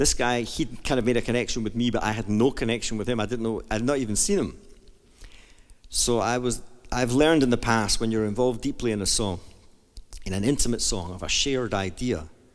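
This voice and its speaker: Here a man speaks with a Scottish accent at medium pitch. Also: ordinary pitch variation, fairly quick pace. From Scotland. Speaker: jazz singer and pianist. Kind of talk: book reading and storytelling. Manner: friendly, bubbly.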